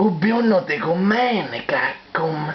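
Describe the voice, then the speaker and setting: A put-on character voice speaks at a very slow pace over clear background noise. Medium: fan dub. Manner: broken grammar, self-talk.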